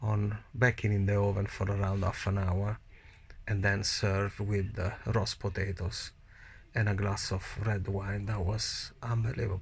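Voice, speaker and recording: On a very clean recording with a silent background, a man speaks in an Italian accent at a fairly slow pace. His fairly low, somewhat breathy voice has a monotone, flat intonation. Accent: Italian accent, non-native English. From Italy. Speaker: COVID-19 survivor vlogger. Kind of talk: personal testimony. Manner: halting.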